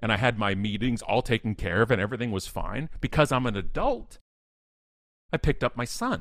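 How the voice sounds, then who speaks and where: A man talks at a fairly quick pace in an animated tone, his medium pitch showing ordinary variation, in a very clean recording with a silent background. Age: 40s. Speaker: keynote speaker and author. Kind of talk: casual interview chat.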